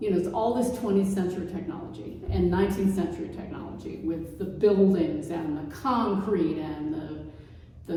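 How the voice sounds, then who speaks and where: Audible room echo and noticeable background noise surround lively intonation. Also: woman. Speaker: painter. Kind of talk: artist talk conversation.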